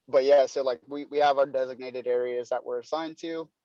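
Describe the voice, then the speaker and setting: This man has an American accent and a medium pitch, speaking at a fairly quick pace. His intonation is monotone and flat, in a dry, close sound with no echo. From North Carolina. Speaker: door-to-door salesman. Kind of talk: podcast interview. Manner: casual, filler-heavy.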